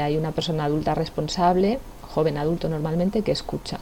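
A woman talks with a very deep, low pitch. Noticeable background noise runs underneath. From Spain, La Sagra, Toledo. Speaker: youth association founder. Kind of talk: interview.

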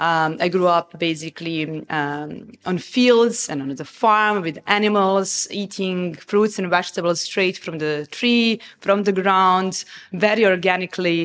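Speaking with a Serbian accent at a fairly slow pace, the voice shows ordinary pitch variation and hardly any pauses. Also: woman, medium pitch for a woman. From Serbia, Novi Sad. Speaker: restaurant founder. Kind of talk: interview. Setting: restaurant.

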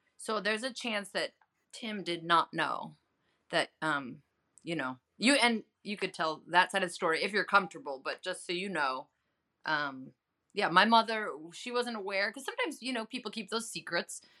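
A woman with an American accent speaks at a moderate pace in an animated, bright, sharp tone with lively intonation, recorded very cleanly against a silent background. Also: medium pitch for a woman. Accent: Chicago, mellowed, comes out when drinking. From Chicago area, US Midwest. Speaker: journalist and health advocate. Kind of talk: casual interview chat. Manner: animated, laughs often.

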